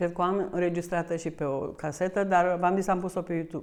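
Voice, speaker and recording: A woman speaks at a moderate pace. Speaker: author. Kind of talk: book launch talk. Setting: bookshop event with audience. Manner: halting, with fillers.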